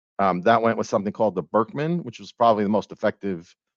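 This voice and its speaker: A man's voice with ordinary pitch variation, dry and close with no echo, over a quiet background. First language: not English. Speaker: university enrollment leader. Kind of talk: casual interview chat.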